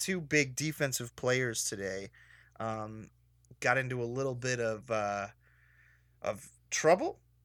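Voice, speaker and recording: The recording is very clean with a silent background. A man speaks at a medium pitch with ordinary pitch variation. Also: long, frequent pauses. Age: 30s. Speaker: sports podcast host. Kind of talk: casual chat.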